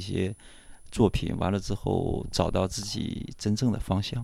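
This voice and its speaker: The man's voice is fairly low in pitch, with a dark, mellow tone. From northern China. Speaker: artist. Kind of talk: casual interview.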